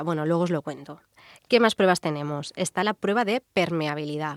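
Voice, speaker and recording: Dry and close with no echo, in a very clean recording with a silent background, a woman's fairly low voice carries lively intonation. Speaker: radio show co-host. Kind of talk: casual chat, explanatory segment. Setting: radio studio. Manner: laughing, giggly.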